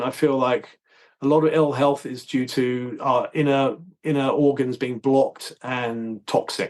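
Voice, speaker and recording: In a southern English accent, a man talks at a fairly high pitch. His intonation stays fairly even against a quiet background. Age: 60s. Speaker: holistic dentist. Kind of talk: casual interview. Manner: halting.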